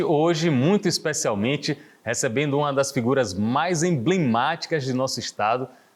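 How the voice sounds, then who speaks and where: A man with an ordinary speaking voice, a fairly high pitch, ordinary pitch variation, very even loudness, a moderate pace and hardly any pauses. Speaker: TV interview host. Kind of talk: TV talk show hosting.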